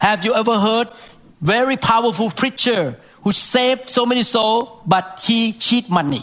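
Noticeable background noise surrounds a man speaking at a high pitch with ordinary pitch variation. His pace is moderate and his loudness very even. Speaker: preacher. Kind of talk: sermon.

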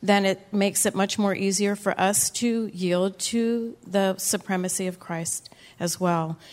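Delivered at a fairly slow pace, this is an unremarkable speaking voice with fairly even intonation. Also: woman. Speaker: church member giving testimony. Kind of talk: testimony. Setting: church.

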